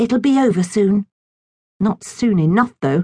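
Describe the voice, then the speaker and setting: A woman speaks with lively intonation and a somewhat breathy voice. The sound is dry and close, with no echo. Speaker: audiobook narrator. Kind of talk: dramatic audiobook narration with character voices. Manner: animated, expressive storyteller shifting between voices; playful, whimsical children's-story delivery.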